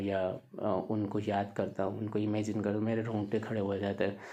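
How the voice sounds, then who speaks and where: A man speaks with a fairly low pitch and a dark, mellow tone. The room adds audible echo. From Gujarat, India. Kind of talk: casual talk to camera. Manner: halting, many fillers.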